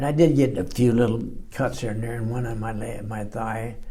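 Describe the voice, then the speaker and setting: A man with an American accent speaks at a moderate pace and medium pitch, his tone dark, mellow and somewhat breathy, with audible room echo. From Los Angeles, California. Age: 90s. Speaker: war veteran. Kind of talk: oral history interview. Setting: library recording room. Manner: halting, many fillers and repeats.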